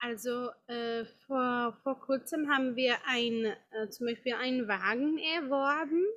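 A woman's high voice with a Czech accent, at a very slow pace with ordinary pitch variation. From Czech Republic, Prague. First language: Czech (speaking German). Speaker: yoga teacher. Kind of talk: interview. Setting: outdoor garden. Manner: halting.

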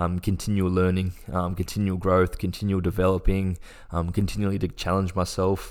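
Very deep and low in pitch, a man speaks at a moderate pace. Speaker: rugby league player. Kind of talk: casual interview. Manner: hesitant, many fillers.

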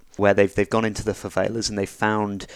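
Recorded very cleanly against a silent background, a man with a British accent speaks at a fairly low pitch. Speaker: podcast host. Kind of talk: casual chat.

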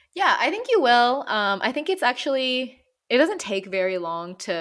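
The speaker moves at a fairly slow pace with very wide pitch swings, in a very clean recording with a silent background. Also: woman. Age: 30s. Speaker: podcast co-host. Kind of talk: casual chat.

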